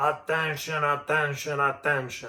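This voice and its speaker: A raspy, put-on character voice from a man, fairly high in pitch, at a moderate pace. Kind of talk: announcement. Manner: repetitive, commanding.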